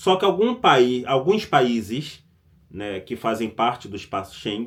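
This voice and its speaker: Speaking at a fairly slow pace, the man lets his pitch swing very widely. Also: medium pitch for a man, big swings in loudness. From Brazil. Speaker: vlogger. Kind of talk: casual vlog commentary. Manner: conversational, with self-corrections and stammers.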